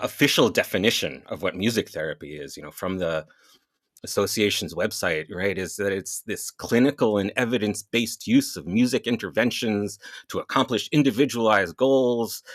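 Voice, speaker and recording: On a very clean recording with a silent background, a man uses a plain, everyday voice at a fairly low pitch with ordinary pitch variation, moderate pace, big swings in loudness, and a dry, close sound with no echo. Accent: American. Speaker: music therapist. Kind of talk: casual interview chat.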